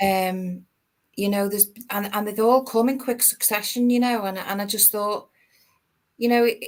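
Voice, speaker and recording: A woman's fairly high voice in a Liverpool accent, at a moderate pace with fairly even intonation and long, frequent pauses. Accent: Liverpool (Scouse). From Liverpool, England. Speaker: actor. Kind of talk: interview chat. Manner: halting, many repeated words.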